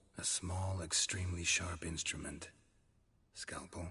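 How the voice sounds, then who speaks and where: Someone puts on a character voice. The pace is fairly slow. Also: man, very deep, low pitch for a man. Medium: video game. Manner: terse, low-key, clipped.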